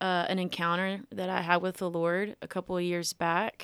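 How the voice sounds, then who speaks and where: A woman's fairly slow, fairly even speech in a Tennessee accent, medium in pitch, on a very clean recording with a silent background. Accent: Southern US (Tennessee). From US South, Millington, Tennessee near Memphis. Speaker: singer-songwriter and music student. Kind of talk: interview, casual chat.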